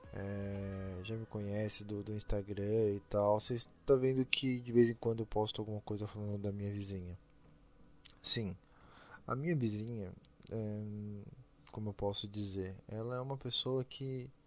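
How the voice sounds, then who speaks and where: Speaking at a moderate pace with fairly even intonation, the voice leaves long, frequent pauses. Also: man, fairly low pitch for a man. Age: 20s. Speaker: podcast host. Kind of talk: casual solo podcast monologue.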